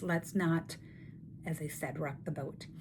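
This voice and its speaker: A somewhat breathy woman at a fairly slow pace. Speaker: network marketing coach and video host. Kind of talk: casual talking-head tutorial. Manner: animated.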